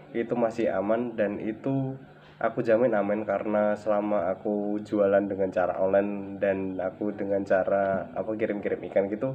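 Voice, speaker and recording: A man talks at a moderate pace with a fairly low pitch. His intonation is flat and monotone. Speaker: vlogger, ornamental fish seller. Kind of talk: tutorial. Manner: casual, hesitant with fillers.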